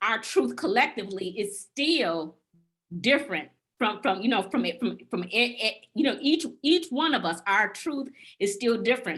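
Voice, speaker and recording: A woman's fairly high pitch swings very widely as she talks at a moderate pace. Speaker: group discussion participant. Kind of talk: casual chat. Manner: halting, many repetitions.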